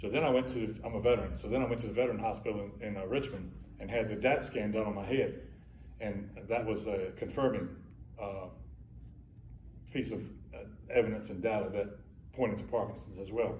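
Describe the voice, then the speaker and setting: Talking at a fairly quick pace with vocal fry, a man uses ordinary pitch variation and leaves long, frequent pauses amid audible room echo. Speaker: Parkinson's patient sharing experience. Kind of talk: testimony. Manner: halting.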